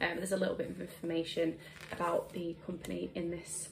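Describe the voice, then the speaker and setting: A woman's fairly low voice with a British accent, at a fairly quick pace, over noticeable background noise. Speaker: beauty blogger and YouTuber. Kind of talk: product unboxing review. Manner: casual, with frequent fillers.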